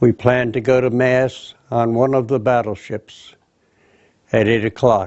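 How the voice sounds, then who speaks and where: Delivered at a very slow pace, the voice has a New Jersey accent and monotone, flat intonation. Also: man. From New Jersey, Union. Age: 80s+. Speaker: war veteran. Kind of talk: testimony.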